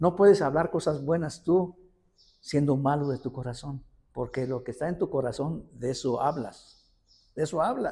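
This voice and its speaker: The speaker is a man. Lively intonation runs through his delivery. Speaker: lay preacher. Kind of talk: sermon. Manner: animated; halting.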